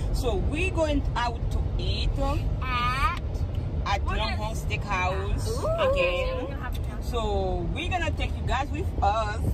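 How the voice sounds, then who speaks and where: Music plays in the background as a woman speaks at a very slow pace. The sound is dry, with no echo. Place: car. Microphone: phone near.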